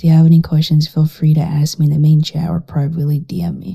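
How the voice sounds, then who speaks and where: A quiet voice at a moderate pace. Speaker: gaming guide creator. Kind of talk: tutorial. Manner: casual, filler-heavy.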